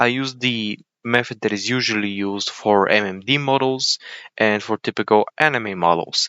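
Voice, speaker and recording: Someone with a Bulgarian accent talks at a moderate pace with ordinary pitch variation. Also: man. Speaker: YouTube video creator, 3D modeler. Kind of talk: unscripted tutorial-style narration over time lapse. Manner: mumbling, rambling explanation.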